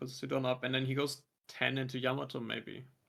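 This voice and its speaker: Using a bright, sharp tone with vocal fry, a man talks at a fairly quick pace and medium pitch. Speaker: card game commentator. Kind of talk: live commentary. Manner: mumbling.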